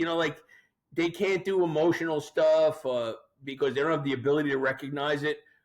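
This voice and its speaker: The speaker has a normal speaking voice and moves at a fairly quick pace. The intonation is fairly even. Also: man, fairly high pitch for a man. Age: 50s. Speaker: podcast guest. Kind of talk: casual chat. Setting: studio.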